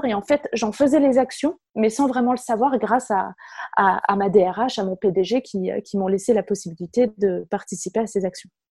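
Very slowly, a woman with a fairly high pitch and a dark, mellow tone speaks somewhat breathily with ordinary pitch variation, sounding dry and close with no echo. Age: 20s. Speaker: communications manager and workplace wellbeing officer. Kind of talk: interview.

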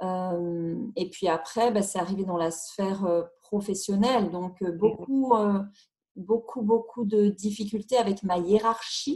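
A woman with a dark, mellow tone and a somewhat breathy sound speaks very slowly, her pitch varying in an ordinary way. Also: medium pitch for a woman. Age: 40s. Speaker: single mother sharing personal story. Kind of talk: personal testimony interview. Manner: halting, hesitant with repetitions.

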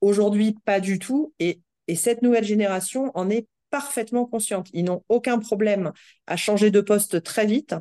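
A woman's fairly high voice with a dark, mellow tone and a dry, close sound with no echo. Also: ordinary pitch variation, moderate pace. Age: 30s. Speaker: HR director. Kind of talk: interview. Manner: halting, many fillers and repetitions.

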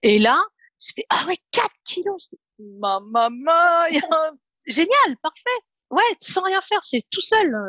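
A woman at a very slow pace, with long, frequent pauses and very wide pitch swings. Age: 30s. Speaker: program participant giving testimonial. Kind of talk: testimony. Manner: halting.

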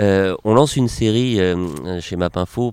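The sound is dry and close with no echo. The tone is dark and mellow, with ordinary pitch variation. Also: man. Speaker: podcast host, journalist. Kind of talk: interview.

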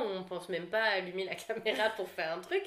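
A woman talks in a medium pitch at a moderate pace. Room echo can be heard. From Réunion (La Saline). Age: 20s. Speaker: content creator. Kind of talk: casual chat.

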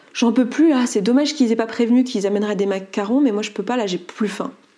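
Talking at a very fast pace, a woman uses a fairly high pitch with ordinary variation and a dark, mellow tone. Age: 30s. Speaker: coach and entrepreneur. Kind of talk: testimony. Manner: halting.

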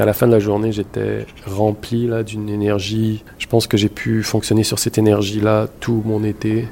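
Against noticeable background noise, a man with fairly low pitch speaks at a fairly slow pace in a monotone, flat intonation. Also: hardly any pauses. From Montreal, Quebec (born in Morocco, moved at 5-6). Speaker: photographer. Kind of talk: interview testimony. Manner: halting, repeats words.

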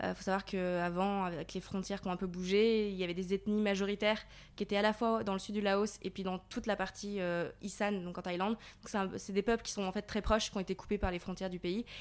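A woman speaks at a very fast pace in a monotone, flat intonation. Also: medium pitch for a woman. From Paris region, France. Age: 20s. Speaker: volunteer aid worker. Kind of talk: interview. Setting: on location in Thailand.

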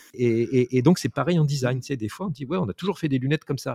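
He talks at a very fast pace, with very wide pitch swings. The man's pitch is medium. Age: 50s. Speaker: interactive designer. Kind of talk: interview. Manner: halting.

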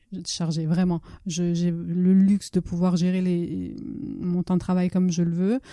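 A woman speaks at a fairly low pitch in a dark, mellow tone, her intonation monotone and flat. Her pace is fairly slow and her loudness very even. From Italy, schooled mostly in France. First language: Italian (speaking French). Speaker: novelist. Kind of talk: casual interview. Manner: halting, many repetitions.

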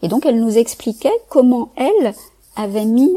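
This woman has a dark, mellow tone. She speaks at a moderate pace. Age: 40s. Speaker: psychologist and neuroscience researcher. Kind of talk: casual interview conversation. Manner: halting, many repetitions and hesitations.

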